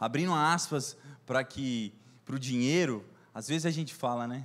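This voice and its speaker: On a very clean recording with a silent background, a man speaks fairly slowly with lively intonation. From Brazil, Minas Gerais. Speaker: preacher. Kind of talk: sermon. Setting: church service.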